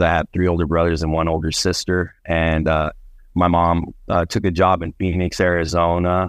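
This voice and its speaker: A man talks at a moderate pace in a very deep, low voice with monotone, flat intonation. The background is quiet. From New Mexico, Albuquerque. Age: 40s. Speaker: podcast guest. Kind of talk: casual interview.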